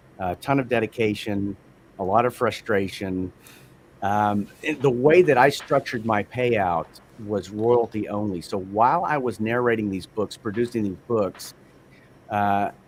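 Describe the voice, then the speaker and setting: Here a man speaks with a Texan accent at a fairly slow pace. His voice is fairly low, with ordinary pitch variation. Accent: Texan American. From Texas, Amarillo. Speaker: audiobook narrator. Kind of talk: interview. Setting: livestream.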